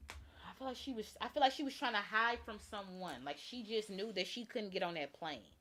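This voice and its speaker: A voice with vocal fry at a fairly quick pace, with hardly any pauses. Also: woman, fairly high pitch for a woman, lively intonation. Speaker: tarot reader and true crime livestreamer. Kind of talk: live stream tarot reading. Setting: live stream.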